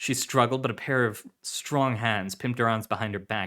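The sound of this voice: The intonation hardly wanders, staying fairly even. It comes across as an unforced reading voice.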